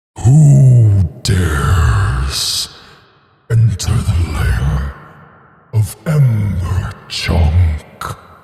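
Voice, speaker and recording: A man puts on a booming character voice at a very deep, low pitch. He talks at a very slow pace, and a clear echo follows his words. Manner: commanding, ominous.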